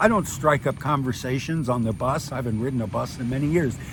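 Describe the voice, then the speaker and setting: Behind the man's voice there is noticeable background noise. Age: 60s. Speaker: retired expat vlogger. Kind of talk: casual monologue vlog. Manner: animated.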